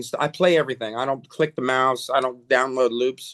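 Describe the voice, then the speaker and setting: With fairly even intonation, a man speaks at a medium pitch. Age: 60s. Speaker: music producer and musician. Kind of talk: interview. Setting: home studio. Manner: halting.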